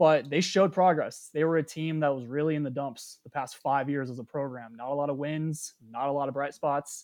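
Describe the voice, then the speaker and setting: Against a quiet background, a man with an ordinary speaking voice and fairly high pitch talks at a fairly quick pace with hardly any pauses. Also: fairly even intonation. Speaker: sports reporter. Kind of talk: casual chat.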